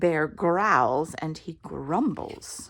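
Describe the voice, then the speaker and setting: A woman at a very slow pace, in a very clean recording with a silent background. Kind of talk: children's picture book read-aloud.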